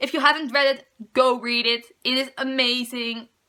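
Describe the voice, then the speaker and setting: A woman with a Dutch accent uses a raised, projected voice at a high pitch. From Netherlands. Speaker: book vlogger. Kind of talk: casual chat.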